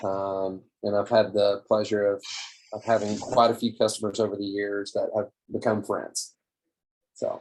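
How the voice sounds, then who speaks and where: Speaking in a Southern US accent, a man with a fairly low pitch keeps a moderate pace and a monotone, flat intonation. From Tennessee, Cookeville (US South). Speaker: small business owner, marketing and design consultant. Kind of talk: webinar presentation. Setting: video call.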